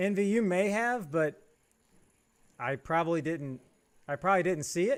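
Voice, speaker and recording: A man talks loudly at a high pitch and a moderate pace. He leaves long, frequent pauses. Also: lively intonation. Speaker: gaming streamer. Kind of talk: live stream chat.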